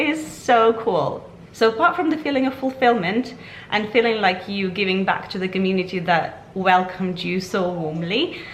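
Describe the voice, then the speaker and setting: A woman at medium pitch speaks at a moderate pace, with lively intonation and an enthusiastic tone. Audible room echo and noticeable background noise fill the recording. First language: Ukrainian or Russian. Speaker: vlogger. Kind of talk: casual vlog talk to camera. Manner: chatty, enthusiastic.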